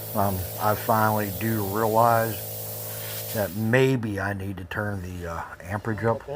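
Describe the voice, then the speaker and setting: A man with a fairly low pitch speaks at a fairly slow pace, his intonation fairly even and his pauses long and frequent. Audible room echo and noticeable background noise accompany him. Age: 60s. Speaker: DIY YouTuber trying out welding tools. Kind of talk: casual voice-over commentary on own video. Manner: halting, rambling with many fillers.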